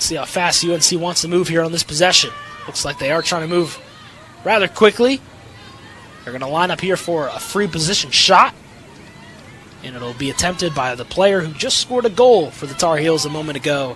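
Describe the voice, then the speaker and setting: Over crowd noise in the background, a man talks in an energetic tone at a high pitch and a fairly quick pace, with long, frequent pauses. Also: lively intonation. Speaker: sports broadcaster / student sports media major. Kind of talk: live TV lacrosse play-by-play. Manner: fast, energetic.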